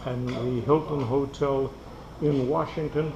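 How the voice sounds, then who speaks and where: A man talks at a very slow pace and a fairly high pitch, with ordinary pitch variation. Noticeable background noise and audible room echo are present. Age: 80s+. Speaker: war veteran. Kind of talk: casual chat.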